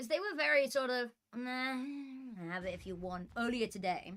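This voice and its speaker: The speaker has a British accent. The pitch swings very widely. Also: woman. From Britain. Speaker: esports caster. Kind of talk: live commentary.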